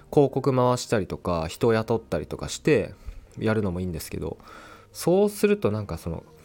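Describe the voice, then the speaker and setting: A man speaks with a dark, mellow tone at a fairly quick pace. His pitch swings very widely. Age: 20s. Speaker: podcaster and YouTuber. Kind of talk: solo casual talk. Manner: halting, many fillers.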